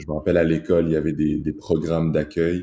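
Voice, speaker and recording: In a very clean recording with a silent background, a man with a very deep, low pitch and a dark, mellow tone talks at a fairly quick pace. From Rwanda. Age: 20s. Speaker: pharmacy student. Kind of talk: interview.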